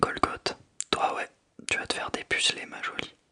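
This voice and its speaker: Whispered words at a fairly slow pace. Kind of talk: audiobook reading.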